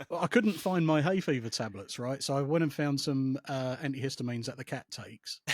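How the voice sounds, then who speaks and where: Speaking fairly quickly with hardly any pauses, a man with an English accent uses a fairly high pitch and ordinary pitch variation, in a dry, close sound with no echo. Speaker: psychotherapist and former RAF and police officer. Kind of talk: casual chat. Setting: podcast. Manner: calm.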